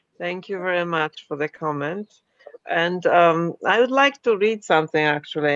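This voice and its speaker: The sound is dry and close with no echo as a woman with a fairly low pitch speaks in a non-native accent. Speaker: poet and book publisher. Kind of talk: casual chat and poetry reading.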